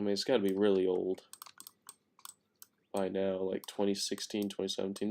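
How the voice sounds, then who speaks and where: Quietly, a man speaks in a fairly low pitch with a dark, mellow tone. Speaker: gaming streamer. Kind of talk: live stream chat. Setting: home at night, late stream. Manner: quiet, subdued; casual, rambling.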